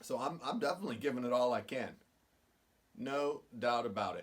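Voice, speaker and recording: A man is speaking. His pitch swings very widely. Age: 50s. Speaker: golf vlogger. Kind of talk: casual vlog talk. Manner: animated.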